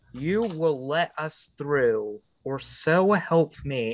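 Using a put-on character voice, a man pitches himself fairly high. He delivers it at a very slow pace. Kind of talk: tabletop player acting in character. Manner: insistent, demanding.

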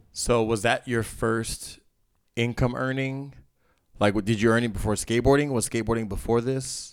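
At a medium pitch and moderate pace, a man uses an ordinary speaking voice with fairly even intonation. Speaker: podcast host and rapper. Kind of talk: casual interview chat. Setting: studio.

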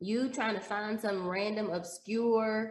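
A woman with an American accent at medium pitch, fairly even in intonation, with audible room echo. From Texas, Dallas. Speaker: stock trader and former teacher. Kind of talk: casual interview.

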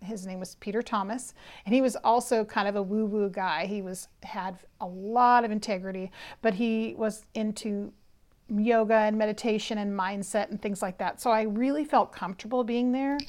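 The speech moves at a moderate pace in a Californian accent on a very clean recording with a silent background. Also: woman, fairly high pitch for a woman, fairly even intonation. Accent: Californian American. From San Francisco Bay Area, California. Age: 50s. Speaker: psychic and spiritual teacher. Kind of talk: solo podcast monologue, personal story.

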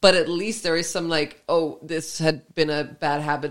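A woman with a Danish accent speaks in a very deep, low voice. Her pace is moderate and her intonation fairly even. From Denmark. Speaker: podcast host. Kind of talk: casual chat.

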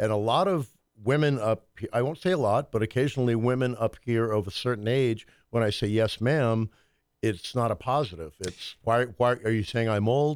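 In an American accent, a man with an unremarkable speaking voice talks at a medium pitch and moderate pace, with ordinary pitch variation and very even loudness, on a very clean recording with a silent background. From US military family, Southern parents. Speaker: musician and economics commentator. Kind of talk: casual chat.

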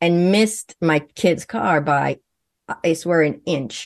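A woman speaks in a Swedish accent with a very deep, low pitch. The background is quiet. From Sweden. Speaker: naturopathic physician and medium. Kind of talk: interview.

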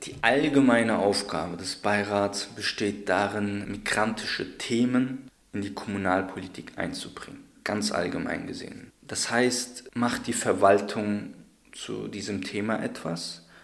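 Fairly slow speech from a man with a fairly low pitch and ordinary pitch variation, with audible room echo. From Hesse, Germany (Darmstadt). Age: 20s. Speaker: law researcher and community advocate. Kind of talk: interview.

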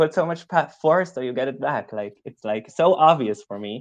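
Moderate pace against a quiet background. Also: man. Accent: Israeli. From Israel. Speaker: student and activist. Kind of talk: casual interview.

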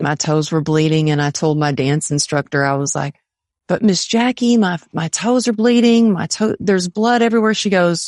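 In an American accent, a woman with an unremarkable speaking voice talks at a moderate pace, fairly low in pitch with lively intonation, against a quiet background. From Texas. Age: 50s. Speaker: motivational speaker. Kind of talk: interview.

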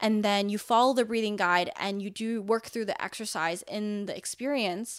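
An ordinary speaking voice moves at a moderate pace with fairly even intonation and hardly any pauses, on a very clean recording with a silent background. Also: woman, fairly high pitch for a woman. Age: 20s. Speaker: startup founder. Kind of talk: casual chat.

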